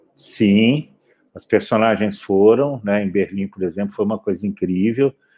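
This man has an ordinary speaking voice, fairly low in pitch, with fairly even intonation and a fairly slow pace. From Brazil, Belo Horizonte. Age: 50s. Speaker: film director. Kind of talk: panel interview.

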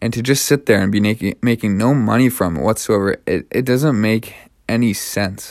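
Speaking at a moderate pace with a Canadian accent, a man has an ordinary speaking voice, fairly low pitch and ordinary pitch variation on a very clean recording with a silent background. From Canada. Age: 20s. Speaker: podcast host. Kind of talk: personal monologue.

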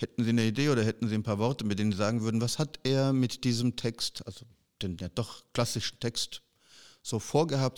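Speaking at a fairly quick pace, a man uses an ordinary speaking voice at medium pitch with ordinary pitch variation. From western Germany. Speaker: podcast host. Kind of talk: casual interview.

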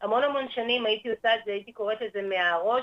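A woman's voice with ordinary pitch variation. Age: 60s. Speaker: holistic therapist, former teacher. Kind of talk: radio interview.

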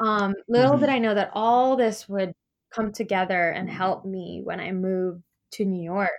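Speaking at a moderate speed with an American accent, a woman has an unremarkable speaking voice. Her pitch is medium and varies in an ordinary way. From US West Coast, Los Angeles. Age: young. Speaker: freelance dancer and Pilates coach. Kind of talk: interview.

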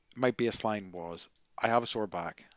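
A man talks with a Northern Irish accent. He keeps a moderate pace and ordinary pitch variation. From Northern Ireland. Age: 40s. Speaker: podcast co-host, yoga teacher. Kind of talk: casual chat.

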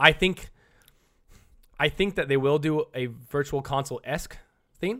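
A loud, animated man with an American accent speaks at a moderate pace with long, frequent pauses, a fairly high pitch, ordinary pitch variation and a bright, sharp tone, on a very clean recording with a silent background. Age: 30s. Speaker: streamer. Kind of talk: casual chat.

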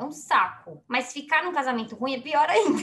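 Projecting a raised voice, a woman speaks at a moderate pace with a high pitch that swings very widely. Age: 30s. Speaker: podcast co-host. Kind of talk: casual chat. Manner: animated.

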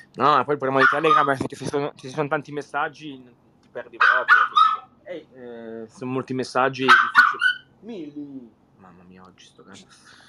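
Against noticeable background noise, a man at a fairly high pitch speaks at a moderate pace with fairly even intonation, big swings in loudness, and long, frequent pauses. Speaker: chat room host. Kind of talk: casual chat.

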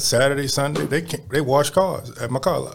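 A man speaks with an American accent in an ordinary speaking voice. His pitch is fairly high and his pace is moderate. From Baltimore, Maryland (East Baltimore). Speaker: youth basketball program director. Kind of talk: casual interview chat. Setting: studio.

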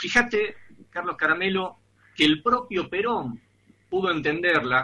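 Very wide pitch swings mark the speech. It moves along at a moderate pace. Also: man. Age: 40s. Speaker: radio host. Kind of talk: radio interview.

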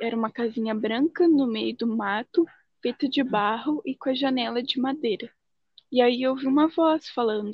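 A woman's high-pitched voice at a moderate pace. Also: ordinary pitch variation. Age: 20s. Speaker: guest sharing spiritual and UFO experiences. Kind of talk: casual chat.

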